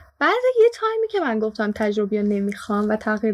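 A fairly quick delivery over noticeable background noise. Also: woman. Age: young, 19. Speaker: student intern. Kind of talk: casual chat.

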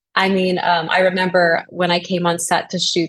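A woman speaks in a medium pitch at a moderate pace. Her voice is somewhat breathy. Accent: American. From US South, New Orleans. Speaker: actress. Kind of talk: interview.

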